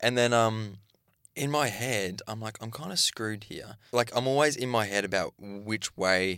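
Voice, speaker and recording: The recording is very clean, with a silent background. A man with a bright, sharp tone and medium pitch talks at a moderate pace with ordinary pitch variation. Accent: Australian. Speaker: podcast co-host, reality TV contestant. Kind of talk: casual chat. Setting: studio.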